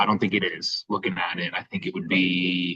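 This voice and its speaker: The sound is dry and close, with no echo. A man speaks at a fairly quick pace. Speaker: sports podcast co-host. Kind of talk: casual chat. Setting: cafe. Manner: quieter than usual.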